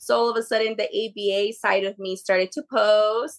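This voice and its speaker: With a Spanish accent, a woman speaks at a moderate pace in a fairly high voice, the sound dry and close with no echo. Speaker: behavior analyst and exam prep creator. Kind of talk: podcast interview.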